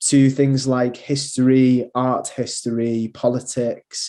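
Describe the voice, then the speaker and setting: Speaking with a strong Manchester accent, a man has a medium-pitched voice with a dark, mellow tone. His intonation stays fairly even. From northern England, Manchester. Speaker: university recruitment manager. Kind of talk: presentation. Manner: hesitant, many fillers.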